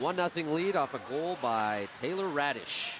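A man's voice, dry with no echo, amid noticeable background noise. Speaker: play-by-play commentator. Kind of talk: commentary. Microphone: headset.

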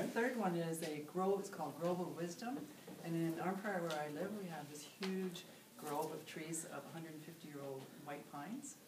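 Over noticeable background noise, a woman with a fairly low pitch speaks with ordinary pitch variation. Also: moderate pace. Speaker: meditation teacher. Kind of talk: interview answer. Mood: warm, calm, friendly. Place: home room. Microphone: camera far.

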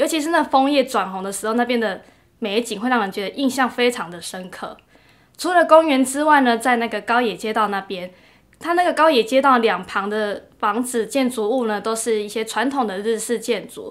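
With a Taiwanese accent, a woman speaks at a fairly high pitch and a moderate pace, using ordinary pitch variation against a quiet background. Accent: Taiwanese Mandarin. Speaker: working holiday visitor; interviewee. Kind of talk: interview testimonial. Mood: warm, pleasant. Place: meeting room.

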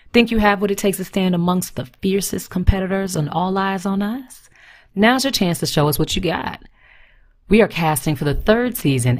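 The recording is very clean, with a silent background. A woman with a normal speaking voice talks at a fairly quick pace with lively intonation. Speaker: voice actor. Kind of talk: TV promo read.

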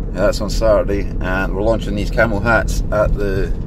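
A man's dry voice with no echo, against noticeable background noise. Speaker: small business owner vlogger. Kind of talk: casual vlog chat. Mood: relaxed and cheerful. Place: car. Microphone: phone near.

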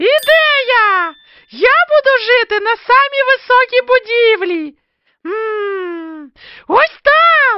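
Extremely high in pitch, a cartoonish character voice drawls at a very slow pace. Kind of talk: homemade cartoon voice. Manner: cocky, excitable.

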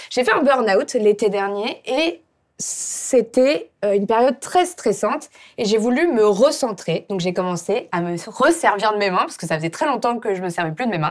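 Against a quiet background, a woman talks at a moderate pace. Her fairly high voice moves in very wide pitch swings. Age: 30s. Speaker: YouTuber and brand founder; show host. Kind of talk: casual chat. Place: studio. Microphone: lapel.

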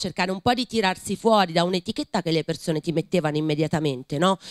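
In an unremarkable speaking voice, a woman talks at a fairly low pitch with ordinary pitch variation, the sound dry with no echo and the background quiet. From Tuscany. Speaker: writer and teacher. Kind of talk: panel discussion. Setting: library event with audience. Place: hall. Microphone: studio mic.

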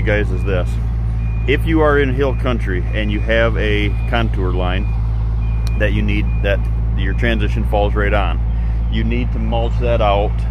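Monotone, flat delivery at a moderate pace and very even loudness, with noticeable background noise. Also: man, dry sound with no echo. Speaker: channel host. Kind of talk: casual vlog tutorial. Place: open country. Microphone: phone near.

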